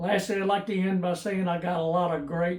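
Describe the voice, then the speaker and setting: A man with a Tennessee accent speaks at a high pitch. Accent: Southern US (Tennessee). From US South (Memphis, Tennessee). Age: 80s+. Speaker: YouTuber restoring old tools. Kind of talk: casual personal Q&A monologue. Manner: halting, many fillers and repeats.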